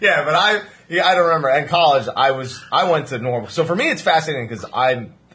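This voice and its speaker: A man with an American accent speaks very fast at a fairly high pitch, with lively intonation. Noticeable background noise runs behind him. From New Jersey. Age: 20s. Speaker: podcast host. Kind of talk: casual chat.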